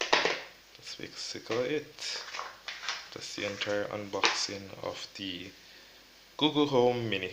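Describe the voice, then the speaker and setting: A soft-spoken man at a very slow pace, fairly low in pitch with ordinary pitch variation, long, frequent pauses and big swings in loudness, amid audible room echo and noticeable background noise. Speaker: tech youtuber. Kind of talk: unboxing tutorial. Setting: at home.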